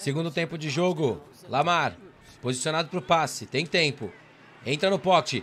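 A man speaking at a moderate pace. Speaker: sports commentator. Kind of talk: live sports commentary over game highlights.

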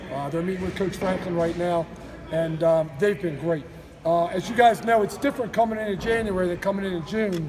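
A man speaks loud and high-pitched at a fairly quick pace, with light background noise behind him. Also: ordinary pitch variation. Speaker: college football strength coach. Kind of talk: media interview. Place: gym.

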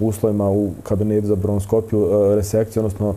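Over music in the background, a man talks at a very fast pace in a fairly low pitch. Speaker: guest. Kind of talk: interview answer. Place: studio. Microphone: lapel.

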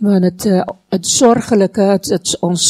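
Her tone is dark and mellow, at a medium pitch and a moderate pace. The woman's recording is dry and close, with no echo. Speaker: Dutch interpreter. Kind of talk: consecutive interpreting of a sermon into Dutch. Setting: church.

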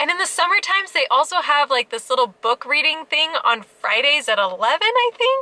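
A raised, projected, upbeat woman's voice at high pitch, with very wide pitch swings, hardly any pauses, a moderate pace and dry sound with no echo. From Alaska. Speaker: family travel vlogger. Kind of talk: travel vlog narration. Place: car. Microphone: phone near.

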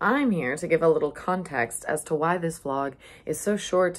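A woman speaks in a very deep, low voice with lively intonation. Her pace is moderate. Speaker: vlogger. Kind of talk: casual vlog chat. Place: home room. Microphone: phone near.

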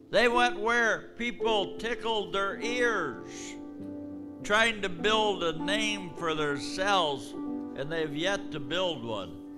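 Clear music plays in the background. A man speaks over it at a very slow pace. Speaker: preacher giving a prophecy. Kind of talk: prophetic preaching. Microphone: handheld.

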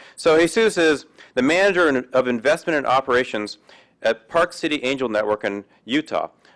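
In an ordinary speaking voice, a man with a fairly high pitch and lively intonation speaks at a moderate pace over a quiet background. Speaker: event emcee. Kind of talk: event introduction and thanks. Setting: stage with audience. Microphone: podium.

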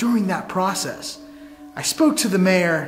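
A man talks at a fairly quick pace while faint music plays behind him. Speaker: paranormal explorer vlogger. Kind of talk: casual vlog chat. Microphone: camera far.

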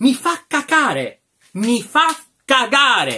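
A man projects a raised voice at an extremely high pitch, with a bright, sharp tone and lively intonation. He speaks at a very slow pace against a quiet background. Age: 20s. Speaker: film reviewer. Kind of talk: ranting film review. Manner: animated. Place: home room. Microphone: phone near.

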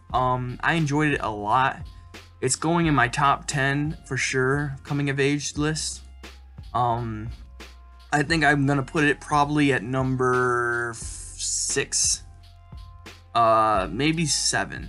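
Faint music plays in the background as a man speaks at a very slow pace. His intonation is fairly even, with long, frequent pauses. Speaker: book reviewer. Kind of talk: casual vlog chat. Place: home room. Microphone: webcam.

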